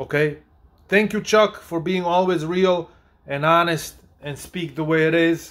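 A man speaks at a high pitch with an animated tone. His pace is fairly slow. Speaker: YouTube sports commentator; sports commentary vlogger. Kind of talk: video commentary reacting to clips. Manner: animated, opinionated, sarcastic. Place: home room. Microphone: phone near.

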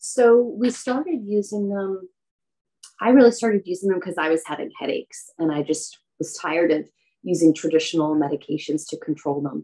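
A woman's dark, mellow voice with an American accent, fairly quick and lively in intonation, over a quiet background. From New York. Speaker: aromatherapist and business owner; podcast guest. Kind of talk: interview conversation. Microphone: video call.

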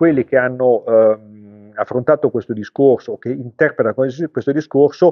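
Over a quiet background, the pitch of a man's voice varies in an ordinary way. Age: 60s. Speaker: car tuning shop owner. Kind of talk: vlog commentary. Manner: halting, many fillers. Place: shop. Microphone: phone near.

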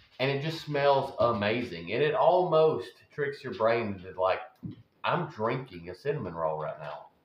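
With a Southern US accent, a man of medium pitch talks at a fairly slow pace, making very wide pitch swings and big swings in loudness. Audible room echo surrounds the voice. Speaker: home food vlogger. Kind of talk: casual talk to camera. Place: kitchen. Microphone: phone near.

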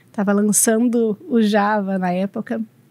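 Delivered at a very slow pace, the speech has fairly even intonation and a dry sound with no echo. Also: woman. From Brazil, São Paulo state. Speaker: operations manager at a machinery company; speaker. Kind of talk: talk interview at a university congress. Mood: friendly, calm. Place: studio. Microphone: studio mic.

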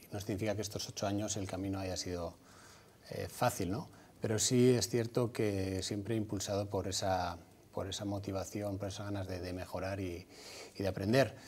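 Somewhat breathy and fairly low in pitch, a man talks at a moderate pace with fairly even intonation over light background noise. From Basque Country, Vitoria. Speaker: former footballer and clinic entrepreneur. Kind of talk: TV interview. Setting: TV studio. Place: studio. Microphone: lapel.

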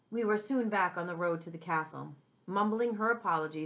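Reading voice, natural

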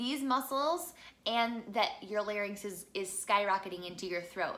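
A woman speaks in an animated tone with an American accent and ordinary pitch variation. Her voice has a bright, sharp tone. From US Midwest. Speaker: singer and voice teacher; voice teacher. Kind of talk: tutorial. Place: home room.

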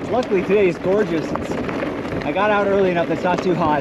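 Loud background noise fills the clip. A man speaks through it at a fairly quick pace. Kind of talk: casual ride commentary. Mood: relaxed, pleased. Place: bicycle. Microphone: camera far.

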